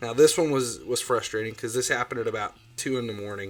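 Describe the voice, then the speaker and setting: A man's medium-pitched voice with a strong Ohio accent, at a very fast pace, in a very clean recording with a silent background. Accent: self-described strong Ohio. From Ohio, US Midwest. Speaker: gaming livestreamer. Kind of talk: livestream commentary. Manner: casual, loose with fillers.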